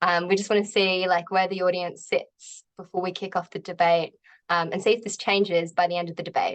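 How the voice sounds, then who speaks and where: In an Australian accent, a woman speaks at medium pitch in a flat monotone. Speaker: agile coach, event host. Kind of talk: event hosting introduction. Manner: frequent um fillers.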